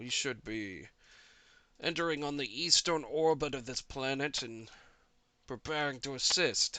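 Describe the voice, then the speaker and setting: Over a quiet background, a man uses a raspy, put-on character voice at a fairly high pitch with ordinary pitch variation. He keeps a moderate pace broken by long, frequent pauses. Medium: actual play. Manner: halting, businesslike.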